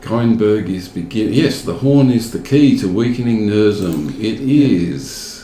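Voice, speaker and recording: Over noticeable background noise, a man in an Australian accent talks at a fairly slow pace with hardly any pauses and lively intonation. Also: medium pitch for a man. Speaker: gaming video host. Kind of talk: casual gameplay commentary. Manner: animated.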